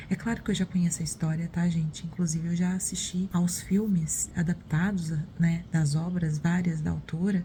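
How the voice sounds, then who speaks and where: Soft-spoken and somewhat breathy, a woman talks at a moderate pace with a fairly low pitch and a dark, mellow tone. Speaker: book vlogger. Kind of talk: casual vlog. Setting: at home in the morning. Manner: soft-spoken, quiet; hesitant, with fillers.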